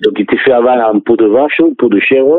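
A man at a medium pitch and a very fast pace, with ordinary pitch variation. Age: 60s. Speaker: sports federation president. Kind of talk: radio interview. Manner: halting.

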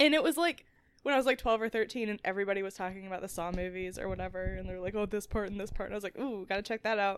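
A woman talks at a very fast pace. Her voice is medium in pitch. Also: ordinary pitch variation. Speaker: podcast co-host, sketch comedian. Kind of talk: casual chat.

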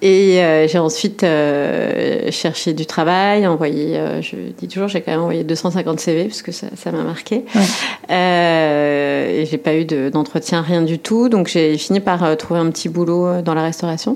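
A woman speaks at a very slow pace. Her voice is fairly low, with ordinary pitch variation. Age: 40s. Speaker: restaurant entrepreneur. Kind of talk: casual chat. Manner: hesitant with many fillers.

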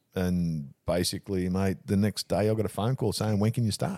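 A man talks with an Australian accent. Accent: Australian, broad. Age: 70s. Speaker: funeral director. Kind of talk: casual chat.

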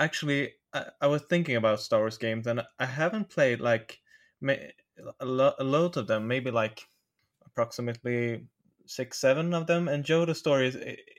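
A man's medium-pitched voice with a Swedish accent, ordinary pitch variation and a moderate pace. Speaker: podcast co-host. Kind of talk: casual chat.

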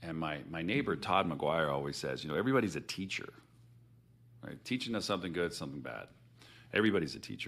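A man with a very deep, low pitch and vocal fry talks at a very fast pace, animated in tone and lively in intonation, broken by long, frequent pauses. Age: 40s. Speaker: business founder. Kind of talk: casual chat.

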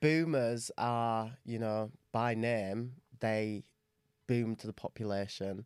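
On a very clean recording with a silent background, a man with an English accent speaks at a very slow pace with fairly even intonation. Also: medium pitch for a man. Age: 20s. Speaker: podcast co-host. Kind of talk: casual chat.

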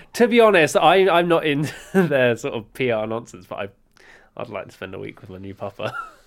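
A man with a fairly high voice and vocal fry talks at a moderate pace, his pitch swinging very widely and his loudness rising and falling sharply. The recording is very clean, with a silent background. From England (Luton). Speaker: podcast co-host. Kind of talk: casual chat.

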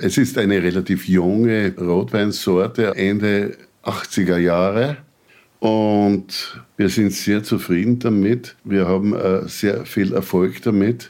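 Very slowly, a man speaks in a fairly low voice. His loudness stays very even and his intonation fairly even. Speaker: winegrower. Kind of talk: casual chat. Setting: kitchen.

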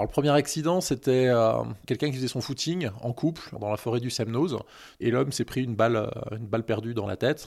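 A man speaks at medium pitch in a plain, everyday voice, with ordinary pitch variation and a fairly quick pace. The recording is very clean, with a silent background. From Annecy, Haute-Savoie, France. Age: 40s. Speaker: hiker and anti-hunting association president. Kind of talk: interview. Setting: outdoors, forest walk.

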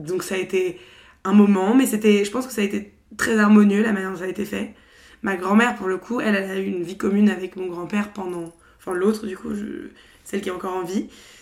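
A woman's ordinary speaking voice, fairly quick, with fairly even intonation. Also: medium pitch for a woman. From Paris, France. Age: 20s. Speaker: podcaster. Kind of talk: casual chat.

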